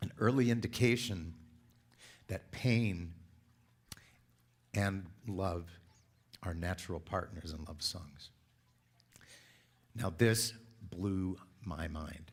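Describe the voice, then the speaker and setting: A man's very deep, low voice at a very slow pace, with long, frequent pauses and ordinary pitch variation. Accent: American. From Southern California. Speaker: church speaker. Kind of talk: sermon.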